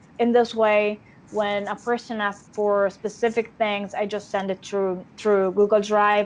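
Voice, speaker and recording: A woman talks at a fairly slow pace with an Italian accent. Her intonation stays monotone and flat. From Italy. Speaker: actress. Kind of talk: interview. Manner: halting. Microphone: unstable connection.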